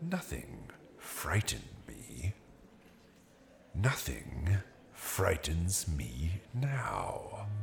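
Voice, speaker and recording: Putting on a character voice, a man speaks at a very slow pace with a very deep, low pitch, very wide pitch swings, and long, frequent pauses over light background noise. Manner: stubborn, terse denials.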